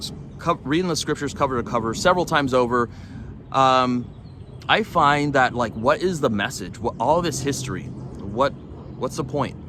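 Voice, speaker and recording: A man's bright, sharp voice with a Californian accent, medium in pitch with ordinary variation, at a moderate pace. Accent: Californian American English. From Los Angeles, US. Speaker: religious vlogger. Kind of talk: religious vlog monologue. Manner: halting, many fillers.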